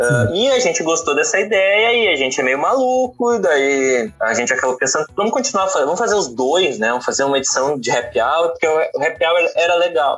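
Over noticeable background noise, a man talks fast, with hardly any pauses, at a high pitch. His pitch swings very widely, his loudness stays very even, and his pace is fairly quick. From southern Brazil, Porto Alegre. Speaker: translator. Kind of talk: interview. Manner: halting, many fillers and repetitions.

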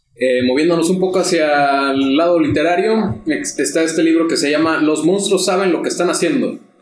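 Over noticeable background noise, a man with a high pitch speaks at a moderate pace with hardly any pauses, lively intonation and very even loudness. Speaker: tabletop RPG podcast co-host. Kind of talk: casual chat.

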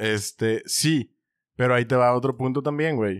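A man with a Mexican accent speaks at a fairly slow pace. His medium pitch shows ordinary variation, and the sound is dry and close with no echo. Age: 30s. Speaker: podcast co-host. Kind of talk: casual chat.

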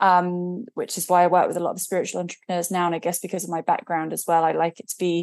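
A woman with an English accent against a quiet background. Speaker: spiritual business coach and author. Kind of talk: interview.

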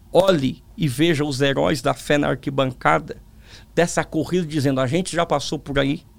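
A man talks at a moderate pace with a fairly high pitch and fairly even intonation. Vocal fry runs through his voice. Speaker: pastor and preacher. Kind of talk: testimony interview. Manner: calm.

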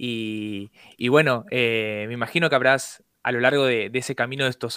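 A bright, sharp male voice at a medium pitch with fairly even intonation, dry and close with no echo, in a very clean recording with a silent background. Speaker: radio host. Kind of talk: casual chat.

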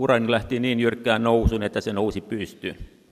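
This man speaks at a moderate pace with a medium pitch and some vocal fry. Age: 60s. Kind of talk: lecture. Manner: halting.

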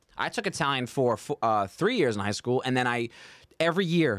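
A man's unremarkable speaking voice with an American accent, medium pitch, lively intonation and a fairly quick pace, in a very clean recording with a silent background. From Staten Island, New York. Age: 30s. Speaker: comedian. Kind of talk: casual chat. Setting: studio.

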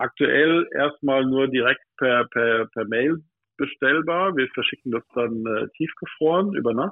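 The man talks at a fairly slow pace with a medium pitch. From Odenwald, southern Hesse, Germany. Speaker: pastry chef. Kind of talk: casual chat. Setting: phone call. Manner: animated.

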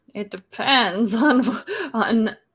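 The voice belongs to a woman. Her intonation stays fairly even. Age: 20s. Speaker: podcast host. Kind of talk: casual chat; news reading.

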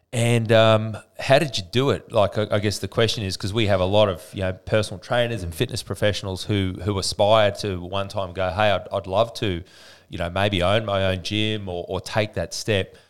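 With an Australian accent, a man talks at a moderate pace. His intonation is fairly even. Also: fairly low pitch for a man, hardly any pauses. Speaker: podcast host, fitness business coach. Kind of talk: interview.

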